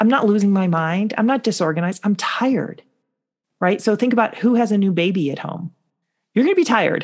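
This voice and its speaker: With an American accent, a woman talks at a fairly quick pace in a somewhat breathy, medium-pitched voice. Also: ordinary pitch variation. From US Midwest, Chicago North Shore. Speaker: motivational speaker. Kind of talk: interview conversation.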